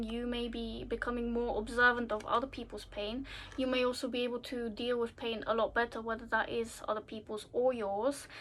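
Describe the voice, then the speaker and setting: A woman's high-pitched voice at a moderate pace. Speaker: tarot reader. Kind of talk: tarot reading monologue. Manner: casual, filler-heavy.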